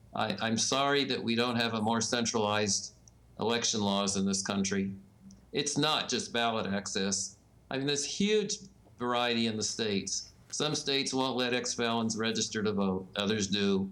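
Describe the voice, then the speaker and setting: At a moderate pace, a man with a bright, sharp tone and medium pitch keeps very even loudness and fairly even intonation on a very clean recording with a silent background. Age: 70s. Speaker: election law expert and newsletter publisher. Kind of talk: interview.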